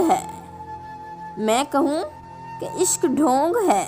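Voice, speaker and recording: A woman's high voice with very wide pitch swings, with music in the background. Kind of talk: poetry reading. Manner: sad, emotional.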